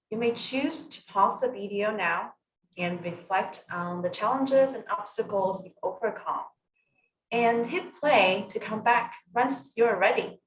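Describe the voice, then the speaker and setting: A woman speaks at a fairly slow pace in a fairly high pitch, somewhat breathy. Her intonation is lively, with big swings in loudness. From Taiwan. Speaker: clinical psychologist. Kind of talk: scripted orientation talk.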